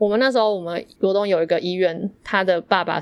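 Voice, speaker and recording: At a fairly quick pace, a woman talks in an ordinary speaking voice at medium pitch with ordinary pitch variation. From Yilan, Taiwan. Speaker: podcast co-host. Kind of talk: casual chat.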